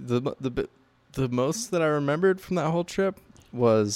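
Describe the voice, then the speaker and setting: A man with an American accent, a plain, everyday voice, talks at a moderate pace with lively intonation. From central Oregon, US. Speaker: podcast host and artist. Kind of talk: casual chat.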